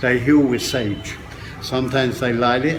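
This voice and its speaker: Amid noticeable background noise and audible echo from the room, a man's voice comes through. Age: 70s. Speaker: dry fasting teacher. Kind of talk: interview.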